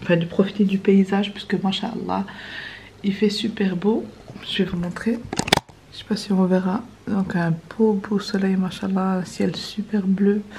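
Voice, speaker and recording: A soft-spoken woman with medium pitch talks at a fairly slow pace in a monotone, flat intonation, with long, frequent pauses. Noticeable background noise runs underneath. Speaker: vlogger. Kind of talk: casual vlog talk to camera. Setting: in a car.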